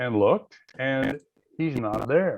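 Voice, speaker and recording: His pitch swings very widely. The man talks with an American accent. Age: 70s. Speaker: author. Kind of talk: interview. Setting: radio show. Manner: halting.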